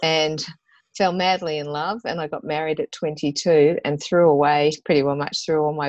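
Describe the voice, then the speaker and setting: A woman's very deep, low voice in an Australian accent, flat and monotone at a moderate pace, over a quiet background. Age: 50s. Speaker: mother and business owner. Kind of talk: interview conversation.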